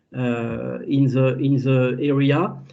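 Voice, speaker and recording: A man's dark, mellow voice with audible room echo. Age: 60s. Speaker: agricultural scientist. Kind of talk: webinar lecture. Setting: video call webinar. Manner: halting, many fillers and repetitions.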